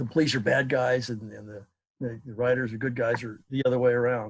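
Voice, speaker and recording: A man speaks at a fairly quick pace in an American accent. His medium-pitched voice is somewhat breathy. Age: 70s. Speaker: class participant. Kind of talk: group discussion. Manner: halting.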